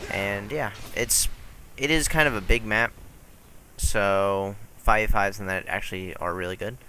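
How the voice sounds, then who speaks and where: A man's voice with ordinary pitch variation comes through noticeable background noise. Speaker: gaming YouTuber. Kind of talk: gameplay commentary. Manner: casual, hesitant with fillers. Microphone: poor audio.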